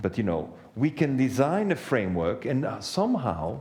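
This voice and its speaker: At a moderate pace, a man talks with a medium pitch, a dark, mellow tone and vocal fry, his pitch swinging very widely. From Belgium. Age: 60s. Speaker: economist and author. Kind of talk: talk to an audience.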